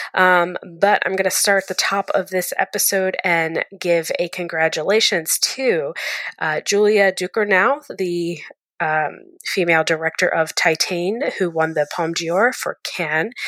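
In a plain, everyday voice, a woman talks at a fairly slow pace and a medium pitch with ordinary pitch variation, and the sound is dry and close with no echo. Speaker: film reviewer. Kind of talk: review segment.

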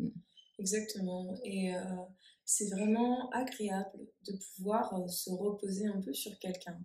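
Somewhat breathy and dark, mellow in tone, a woman speaks at a medium pitch and a very slow pace with long, frequent pauses. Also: fairly even intonation. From France. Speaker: therapist. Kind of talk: casual conversation.

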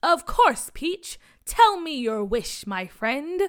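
Using a put-on character voice, a woman speaks at an extremely high pitch and a very slow pace, with very wide pitch swings. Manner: grand, pompous.

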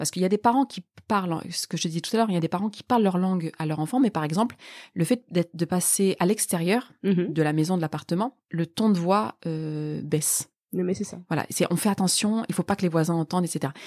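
A woman with a fairly low pitch at a fairly quick pace, ordinary pitch variation, dry, close sound with no echo and a very clean recording with a silent background. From northern France, Lille Sud. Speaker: political scientist and author. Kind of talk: interview. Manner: halting.

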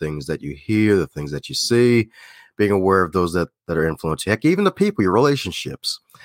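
Recorded very cleanly with a silent background and a dry, close sound with no echo, a man with an American accent has a plain, everyday voice, a fairly low pitch and lively intonation. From Baltimore, Maryland. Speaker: public speaker and podcast guest. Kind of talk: casual interview chat.

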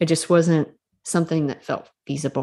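Fairly quick, monotone, flat delivery from a woman with a dark, mellow tone and a Southern US accent. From Mississippi, US South. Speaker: author and storytelling coach. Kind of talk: casual interview.

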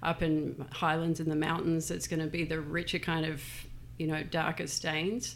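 In an Australian accent, a woman speaks at a moderate pace with a very deep, low pitch, vocal fry, monotone, flat intonation and very even loudness. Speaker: furniture store owner. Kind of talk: casual interview. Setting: studio.

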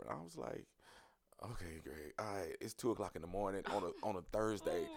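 A man talks at a fairly quick pace. He speaks with a Southern US accent. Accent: Southern US (Georgia). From US South, Dawson, Georgia. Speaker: hairstylist and entrepreneur. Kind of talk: casual interview. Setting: studio.

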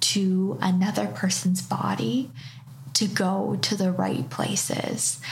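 A woman with a Canadian accent speaks very slowly in a very deep, low voice, her pitch swinging very widely while her loudness stays very even, with noticeable background noise behind her. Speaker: reiki practitioner and tarot reader. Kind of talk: casual chat. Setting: her studio space.

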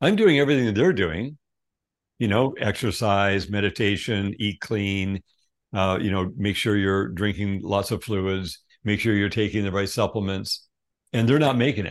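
Over a quiet background, a man with a plain, everyday voice speaks at a fairly low pitch and moderate pace, with ordinary pitch variation. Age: 60s. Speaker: wellness company CEO. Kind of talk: interview.

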